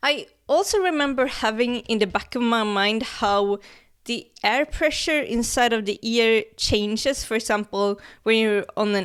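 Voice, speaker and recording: A woman with a normal speaking voice talks at a fairly slow pace in a fairly high pitch. Her pitch varies an ordinary amount, and the recording is very clean with a silent background. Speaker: science explainer YouTuber. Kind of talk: casual educational video commentary.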